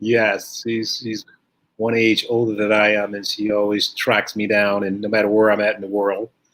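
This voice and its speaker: With an American accent, a man talks at a fairly low pitch. His intonation is monotone and flat, at a moderate pace. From US Midwest, St. Louis. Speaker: professional bodybuilder. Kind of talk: interview. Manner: soft-spoken.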